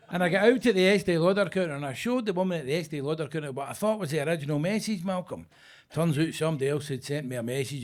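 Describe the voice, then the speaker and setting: On a very clean recording with a silent background, a man talks at a very fast pace in a fairly high pitch with ordinary pitch variation. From Scotland, Glasgow (Govan). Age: 60s. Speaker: stand-up comedian. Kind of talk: stand-up. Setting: stage with audience. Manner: animated.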